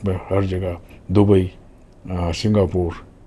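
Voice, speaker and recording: This man has a very deep, low pitch. His tone is dark and mellow, and somewhat breathy. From Gujarat, India (Rajkot). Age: 80s+. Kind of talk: interview, life story. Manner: halting, with fillers.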